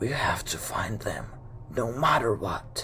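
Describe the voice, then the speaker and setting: A man's raspy, whispering put-on character voice at a fairly slow pace. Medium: read story. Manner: menacing.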